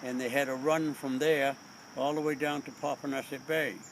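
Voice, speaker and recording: Over noticeable background noise, a man with an American accent talks at a moderate pace and medium pitch in a monotone, flat delivery. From Mashpee, Massachusetts. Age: 80s+. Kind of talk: interview answer.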